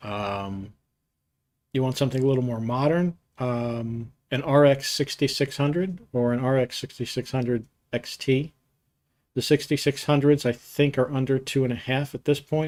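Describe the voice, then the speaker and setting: A man with an American accent uses a normal speaking voice, medium in pitch, with fairly even intonation at a moderate pace. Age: 60s. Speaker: computer hardware youtuber. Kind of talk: live stream Q&A and tech talk. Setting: live stream. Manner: casual, conversational with fillers.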